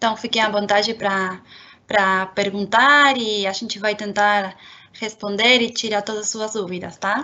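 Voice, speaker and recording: This woman has a Spanish accent and a fairly high pitch. She speaks at a fairly slow pace with fairly even intonation. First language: Spanish (speaking Portuguese). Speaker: marketing and communications manager. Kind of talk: webinar introduction. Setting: online webinar.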